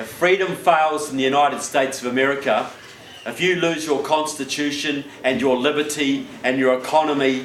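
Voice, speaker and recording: Amid noticeable background noise and audible room echo, a man with a New Zealand accent speaks at a fairly quick pace and fairly high pitch, with fairly even intonation. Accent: New Zealand accent, joked as Southern. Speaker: political speaker. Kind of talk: public speech. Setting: stage with audience.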